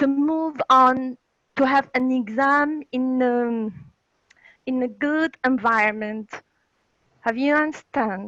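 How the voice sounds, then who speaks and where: A woman with a French accent and a high pitch speaks very slowly in a bright, sharp tone with ordinary pitch variation and long, frequent pauses, captured dry and close with no echo. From Algeria. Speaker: English teacher. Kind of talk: question from webinar participant. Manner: halting.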